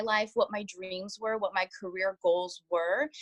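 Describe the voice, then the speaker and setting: A woman speaks at a moderate pace with an unremarkable speaking voice at medium pitch. The sound is dry and close, with no echo. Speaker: network marketing consultant. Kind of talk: testimony.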